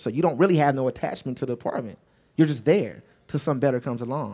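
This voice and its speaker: Very fast speech from a man at fairly high pitch with ordinary pitch variation, on a very clean recording with a silent background. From Los Angeles, Crenshaw. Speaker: musician and producer. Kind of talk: onstage interview. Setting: store event with audience.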